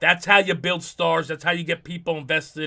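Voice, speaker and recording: On a very clean recording with a silent background, a man with a New Jersey accent talks at a fairly quick pace in a fairly high pitch with a bright, sharp tone. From US Northeast, New Jersey. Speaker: wrestling podcast host. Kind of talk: casual commentary monologue. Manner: fast; animated, many fillers.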